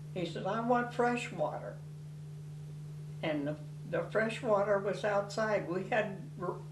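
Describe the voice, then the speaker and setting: With lively intonation and long, frequent pauses, a woman speaks amid noticeable background noise and audible room echo. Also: medium pitch for a woman. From Tennessee. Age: 90s. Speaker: family elder interviewee. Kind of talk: oral history interview.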